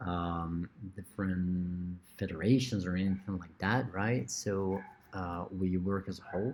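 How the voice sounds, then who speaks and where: Over a very clean recording with a silent background, the speaker has a Brazilian Portuguese accent and a fairly slow pace. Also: man. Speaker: lecturer. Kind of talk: lecture. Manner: hesitant, many fillers.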